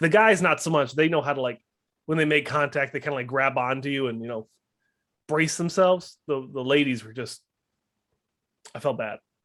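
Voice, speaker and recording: A man speaks with an American accent. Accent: Wisconsin accent, comes back at times. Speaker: bodybuilding podcast co-host. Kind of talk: casual chat.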